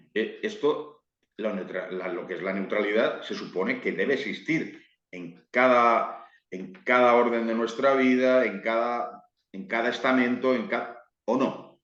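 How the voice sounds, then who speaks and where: Audible room echo surrounds a man speaking at a fairly slow pace. His pitch variation is ordinary. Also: medium pitch for a man. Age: 60s. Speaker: football YouTuber. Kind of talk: interview.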